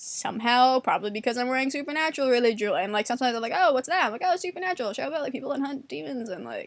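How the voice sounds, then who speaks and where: Talking at a very fast pace with hardly any pauses, a woman with a New York accent uses a high pitch, an animated tone, and lively intonation. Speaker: vlogger. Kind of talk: casual monologue.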